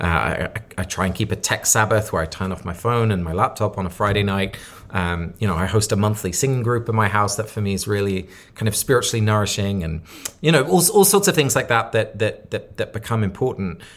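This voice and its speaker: With a southern English accent, a man speaks at a fairly low pitch with ordinary pitch variation. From southern England (Sussex). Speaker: author and community leader. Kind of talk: interview conversation.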